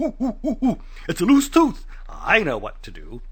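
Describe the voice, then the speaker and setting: Here a man does a put-on character voice at a moderate pace. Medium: read story. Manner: cocky, knowing.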